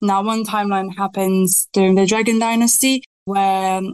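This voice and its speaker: Against a quiet background, the speaker uses monotone, flat intonation at a moderate pace with a Romanian accent. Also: woman. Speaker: novelist. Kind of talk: casual interview chat.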